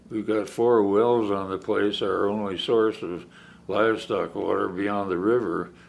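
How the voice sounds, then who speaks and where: In an American accent, a man speaks very slowly with audible room echo. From US West, Oregon. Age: 80s+. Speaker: wild horse sanctuary founder. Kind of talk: interview. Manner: halting, many restarts.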